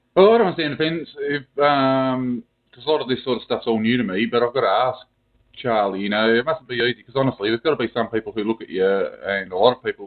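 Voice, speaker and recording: A man talks with an Australian accent. His pace is fairly quick. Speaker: caller. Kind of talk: call-in question. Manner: fast.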